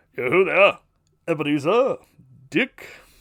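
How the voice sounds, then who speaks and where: A man puts on a character voice pitched high. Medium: read story. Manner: jovial, hearty.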